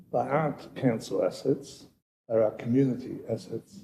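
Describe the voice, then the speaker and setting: A man speaks at medium pitch with a dark, mellow, somewhat breathy tone. His pace is moderate and his pitch varies in an ordinary way. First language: not English. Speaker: city councillor. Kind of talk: council meeting debate.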